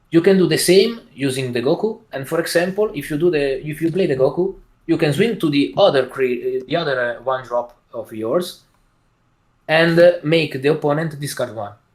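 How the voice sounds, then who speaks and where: This man's voice sits at a fairly high pitch with ordinary pitch variation. He talks at a moderate pace. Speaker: card game player. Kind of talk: interview. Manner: halting, many fillers.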